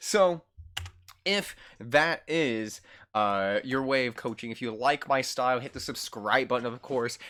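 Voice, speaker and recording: Loud and energetic, the voice is bright and sharp in tone, moving at a fairly slow pace with ordinary pitch variation. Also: man, medium pitch for a man. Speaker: esports coach. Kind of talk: gameplay review tutorial. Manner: loud and hyper; energetic, hesitant fillers.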